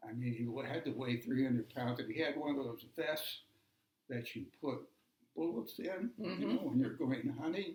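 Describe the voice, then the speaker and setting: The voice is somewhat breathy. Its pitch variation is ordinary. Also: man. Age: 80s+. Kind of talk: family storytelling interview.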